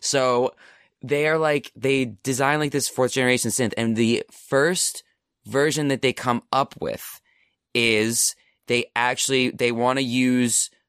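Using a plain, everyday voice, a man speaks at a fairly slow pace in a very clean recording with a silent background and a dry, close sound with no echo. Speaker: guest. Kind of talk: casual chat. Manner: jokey, casual.

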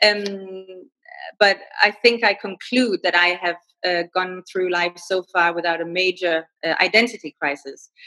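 The speech has a Danish accent, a fairly slow pace and fairly even intonation. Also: woman, medium pitch for a woman. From Denmark. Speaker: freelance writer. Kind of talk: interview, casual conversation. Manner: halting, many fillers.

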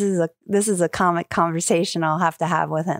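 With an American accent and an unremarkable speaking voice, a woman talks fairly quickly at a fairly low pitch, the sound dry and close with no echo on a very clean recording with a silent background. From New York. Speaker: podcast host and stand-up comedian. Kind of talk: casual chat.

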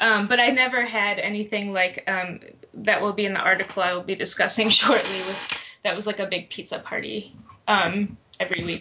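A woman speaks with an American accent at a fairly quick pace. Her pitch is medium, her intonation fairly even, and there is noticeable background noise. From Detroit, Michigan. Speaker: fiction writer and PhD student. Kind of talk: casual panel discussion.

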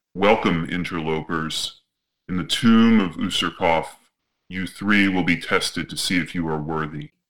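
Using a booming, put-on character voice, a man speaks at a very deep, low pitch and a moderate pace on a very clean recording with a silent background. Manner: ominous, grand.

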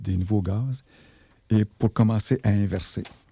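A man with a Quebec accent speaks at a fairly slow pace in a fairly low pitch, his dark, mellow tone and fairly even intonation captured in a very clean, dry, close recording with a silent background and no echo. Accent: Québécois French. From Quebec, Abitibi. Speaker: radio host. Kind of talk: solo radio talk. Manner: halting.

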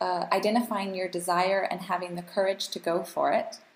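A woman's unremarkable speaking voice at a medium pitch, with an American accent. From US and Canada. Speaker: global health advocate and policy researcher. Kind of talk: casual chat.

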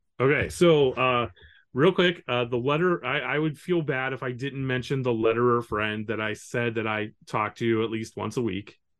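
A man talks at a moderate pace in a medium pitch, using a plain, everyday voice. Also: ordinary pitch variation. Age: 40s. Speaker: comic book letterer. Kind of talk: casual interview.

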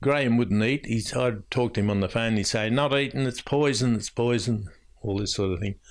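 Against a quiet background, a man with an Australian accent talks fairly quickly at a medium pitch with ordinary pitch variation. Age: 80s. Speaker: older resident and family carer. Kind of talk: interview recollection.

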